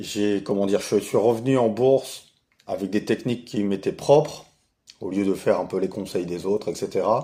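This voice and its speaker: A man's fairly low-pitched voice at a fairly slow pace, with ordinary pitch variation. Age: 40s. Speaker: retired investor, channel owner. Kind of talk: casual self-introduction monologue. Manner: hesitant, many fillers.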